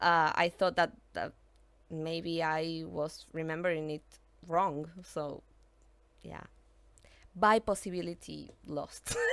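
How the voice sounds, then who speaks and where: With a Spanish accent, a woman speaks at a very slow pace and fairly low pitch, leaving long, frequent pauses. Her intonation is fairly even, while her loudness swings a lot. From Argentina. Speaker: gaming streamer. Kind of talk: live-stream gameplay chat. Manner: halting, frequent fillers and repetitions; chatty.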